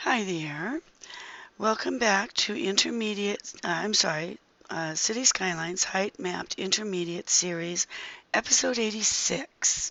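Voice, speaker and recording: Against noticeable background noise, a woman talks at a fairly slow pace with medium pitch and ordinary pitch variation. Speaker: gaming video creator. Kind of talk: gameplay commentary. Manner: halting, many fillers.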